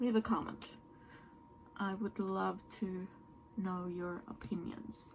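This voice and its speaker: This woman speaks with a Norwegian accent at a medium pitch. Her pace is very slow, broken by long, frequent pauses. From Norway. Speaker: beauty YouTuber. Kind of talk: makeup tutorial and product review. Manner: animated.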